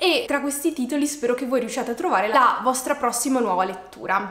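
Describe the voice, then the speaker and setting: A woman's high-pitched voice at a fairly quick pace, with audible room echo. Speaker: book vlogger. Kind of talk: casual vlog chat. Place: home room.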